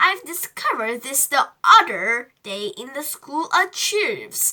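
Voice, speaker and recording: Using a put-on character voice, a woman speaks at a fairly slow pace in a high pitch, with very wide pitch swings and big swings in loudness. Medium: read story. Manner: teacherly, patient.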